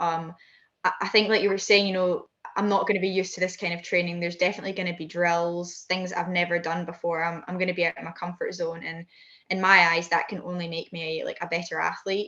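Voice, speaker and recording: A woman talks at a very fast pace with a Scottish accent. Her intonation stays monotone and flat. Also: fairly low pitch for a woman. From Scotland. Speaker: high jumper and heptathlete. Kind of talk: interview answer.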